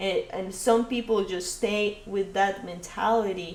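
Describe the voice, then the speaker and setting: Against noticeable background noise, a woman with a non-native accent speaks at medium pitch and a fairly slow pace in monotone, flat intonation. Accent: foreign accent, noticeable. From Colombia. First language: Spanish. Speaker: podcast guest. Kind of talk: casual chat. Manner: halting, many fillers.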